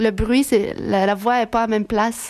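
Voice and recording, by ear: A woman's fairly high voice with a slightly mellow tone and fairly even intonation. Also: moderate pace.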